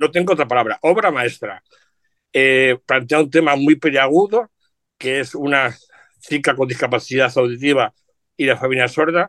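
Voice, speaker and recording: Speaking at a moderate pace with long, frequent pauses, a man uses a fairly high pitch and ordinary pitch variation, with a dry, close sound and no echo. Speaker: journalist and radio presenter. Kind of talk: casual chat. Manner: animated.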